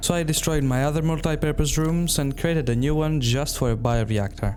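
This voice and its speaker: A fairly high-pitched man at a fairly quick pace, with ordinary pitch variation and very even loudness, over music in the background and audible room echo. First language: Greek. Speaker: gaming YouTuber. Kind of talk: gameplay narration.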